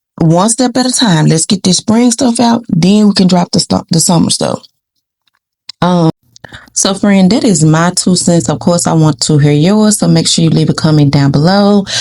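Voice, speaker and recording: This woman's voice has a dark, mellow tone, somewhat breathy and fairly low in pitch. Her intonation is lively while her loudness stays very even. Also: moderate pace, dry, close sound with no echo. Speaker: YouTube commentary vlogger. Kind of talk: casual commentary vlog. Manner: animated.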